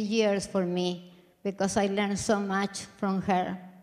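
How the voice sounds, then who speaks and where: Audible room echo surrounds a woman speaking at a fairly slow pace. Her intonation is monotone and flat. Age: 60s. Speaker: speaker at a conference. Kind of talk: conference speech.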